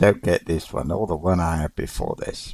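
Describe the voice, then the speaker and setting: Very deep and low in pitch, a man talks at a fairly slow pace with vocal fry. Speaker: gaming streamer. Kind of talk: live gameplay commentary. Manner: subdued, unenthusiastic.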